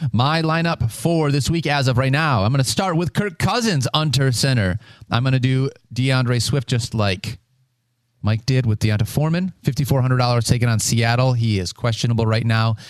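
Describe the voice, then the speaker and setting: In a normal speaking voice, a man talks at a moderate pace with medium pitch, ordinary pitch variation and very even loudness. The recording is very clean with a silent background. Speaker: fantasy football podcast host. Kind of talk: casual chat.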